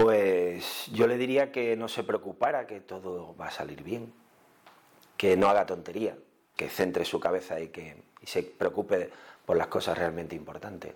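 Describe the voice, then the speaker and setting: Delivered at a fairly slow pace, this voice has ordinary pitch variation and big swings in loudness. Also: man, fairly low pitch for a man. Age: 50s. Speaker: food blogger and TV sound technician. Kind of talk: interview conversation. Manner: halting, with many repeated words.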